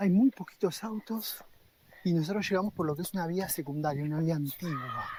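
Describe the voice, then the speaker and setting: The speech comes at a fairly quick pace. Its volume stays quiet. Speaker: travel vlogger. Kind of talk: casual travel vlog talk. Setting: outdoors. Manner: speaking quietly in village.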